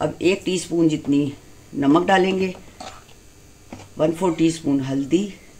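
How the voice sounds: A woman with a low pitch and a slightly mellow tone speaks at a fairly slow pace with ordinary pitch variation.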